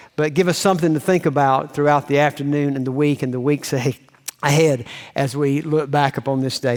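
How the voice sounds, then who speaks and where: A man talks at a fairly quick pace. His voice is fairly high-pitched. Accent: Southern US. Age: 60s. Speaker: pastor. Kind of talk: sermon. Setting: church.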